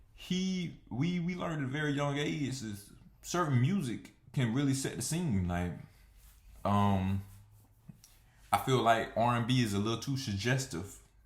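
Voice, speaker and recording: A man with an American accent speaks at a medium pitch and moderate pace, somewhat breathy, with very wide pitch swings. Long, frequent pauses break up his speech, and room echo is audible. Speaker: vlogger. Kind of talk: casual monologue. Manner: hesitant, many fillers.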